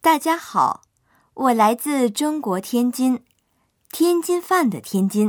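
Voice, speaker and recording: A woman with a high pitch speaks at a very slow pace, her pitch swinging very widely. Long, frequent pauses fall in a very clean recording with a silent background. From China, Tianjin. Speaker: language lesson narrator. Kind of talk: scripted narration.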